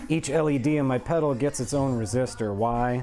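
Music plays in the background as the speaker goes at a moderate pace with fairly even intonation. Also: man. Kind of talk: casual work-along chat. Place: workshop.

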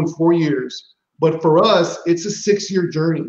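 Audible room echo surrounds a man speaking with an American accent at a high pitch, his intonation fairly even and the background quiet. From San Antonio, Texas; Texas. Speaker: high school principal. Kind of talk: casual interview. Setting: video call. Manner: repetitive, halting. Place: home room. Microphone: video call.

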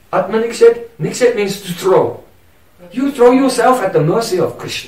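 Light noise sits behind a man's voice, and room echo is audible. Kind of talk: devotional lecture. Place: home room.

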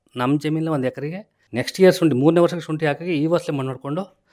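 An ordinary speaking voice from a man, ordinary pitch variation, in a very clean recording with a silent background. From Karnataka, Hassan district (Arakalagudu taluk). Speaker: farmer. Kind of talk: radio interview.

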